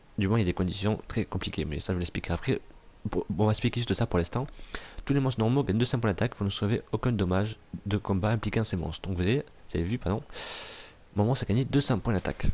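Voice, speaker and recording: A man talks at a very fast pace yet leaves long, frequent pauses. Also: fairly low pitch for a man, ordinary pitch variation, very clean recording, silent background. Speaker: gaming let's play youtuber. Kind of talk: let's play commentary. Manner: halting, many fillers.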